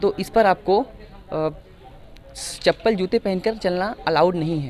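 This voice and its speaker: A man with a high-pitched voice speaks at a moderate pace over noticeable background noise. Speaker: reporter. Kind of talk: on-location tour report to camera.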